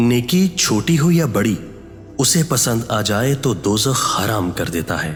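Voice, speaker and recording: Over music in the background, a man's voice moves in very wide pitch swings. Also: medium pitch for a man. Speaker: voice-over artist. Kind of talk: inspirational quote narration.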